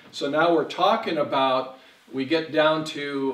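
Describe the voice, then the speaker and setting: A man's voice is heard with audible room echo. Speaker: pastor. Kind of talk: sermon. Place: church.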